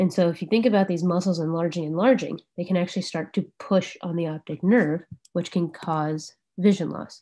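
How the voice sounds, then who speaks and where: Against a quiet background, a woman with an American accent talks at a fairly quick pace in a fairly low voice with fairly even intonation. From Arizona. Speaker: ophthalmologist; presenter. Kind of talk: lecture. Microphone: video call.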